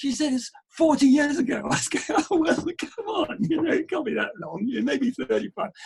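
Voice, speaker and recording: A man with a British accent. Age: old. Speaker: endurance adventurer. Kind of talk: interview answer. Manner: casual, conversational.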